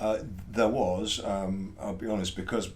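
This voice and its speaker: In a room with audible echo, a man speaks in a fairly low, monotone, flat voice. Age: 60s. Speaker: estate agency founder. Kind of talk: interview.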